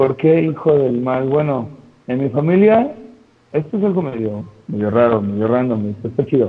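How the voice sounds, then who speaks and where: A man speaks at a moderate pace with lively intonation. His pitch is medium, and he has a plain, everyday voice. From Mexico City. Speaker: pro wrestler. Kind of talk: casual interview.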